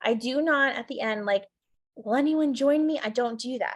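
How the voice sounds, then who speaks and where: A woman talks with ordinary pitch variation. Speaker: network marketing team leader. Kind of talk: team training call. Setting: video call. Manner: fast; animated.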